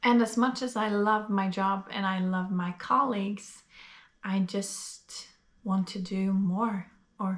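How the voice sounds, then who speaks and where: Her voice is fairly high and somewhat breathy. The woman speaks with a Norwegian accent. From Norway. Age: 20s. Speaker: vlogger. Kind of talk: casual vlog monologue. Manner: hesitant, many fillers.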